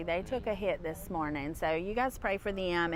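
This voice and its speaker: At a moderate pace, a woman speaks in an American accent with medium pitch. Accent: Southern US accent, noted by viewers. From North Carolina, US South. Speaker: livestream co-host, local news. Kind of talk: live on-scene commentary. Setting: outdoors at fire scene. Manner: casual, conversational.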